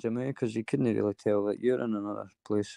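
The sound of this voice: A man speaks at a fairly quick pace with fairly even intonation, his fairly low pitch and dark, mellow tone touched by vocal fry, in a dry, close sound with no echo.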